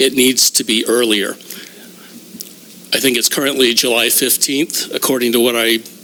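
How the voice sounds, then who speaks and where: A man speaks at a medium pitch in a monotone, flat way, with long, frequent pauses and very even loudness. Noticeable background noise runs underneath. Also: moderate pace. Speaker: public commenter. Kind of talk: public comment at board meeting.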